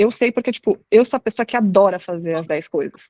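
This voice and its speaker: A woman's unremarkable speaking voice, fairly high in pitch and at a fairly quick pace, with a dry, close sound with no echo. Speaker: product marketing manager. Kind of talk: live webinar talk.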